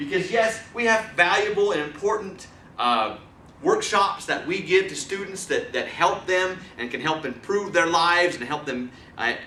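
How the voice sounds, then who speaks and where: Over noticeable background noise and audible room echo, a man with a high pitch speaks in a raised, projected voice with an animated tone. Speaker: presentation skills trainer. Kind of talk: training lecture. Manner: fast.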